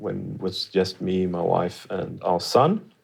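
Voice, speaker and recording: With a Swedish accent, a man speaks at a fairly slow pace. His pitch variation is ordinary. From Sweden. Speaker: studio guest. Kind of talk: interview. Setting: studio.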